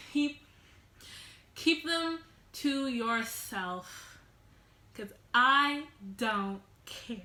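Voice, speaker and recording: A woman speaks in a high pitch with lively intonation. Her bright, sharp voice is raised and projected. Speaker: vlogger. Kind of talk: casual storytime vlog. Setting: at home alone, sitting on the floor. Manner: loud.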